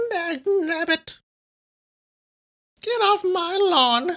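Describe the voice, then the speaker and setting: This is a put-on character voice, strained and gravelly. Its pitch is extremely high. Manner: grumpy, cranky.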